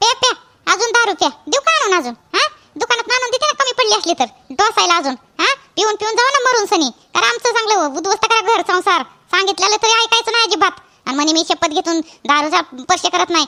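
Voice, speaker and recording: Putting on a character voice, a female-sounding speaker talks at a moderate pace in an extremely high pitch. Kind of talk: colloquial Marathi. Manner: scolding, sarcastic.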